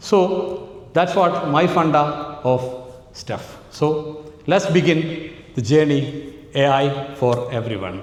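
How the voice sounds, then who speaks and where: Speaking very slowly with a Keralan accent, a man uses a fairly high pitch and ordinary pitch variation. Audible room echo and noticeable background noise are present. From Kerala, India. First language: Malayalam. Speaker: AI trainer, entrepreneur. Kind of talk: workshop talk. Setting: conference hall with audience. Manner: animated.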